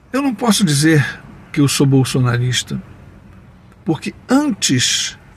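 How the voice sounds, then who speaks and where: Music plays in the background. A man speaks at a very slow pace in a fairly high pitch. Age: 60s. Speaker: taxi driver sharing opinions. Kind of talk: personal opinion monologue with anecdote.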